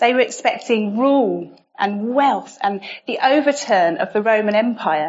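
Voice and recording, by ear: A natural voice, reading aloud.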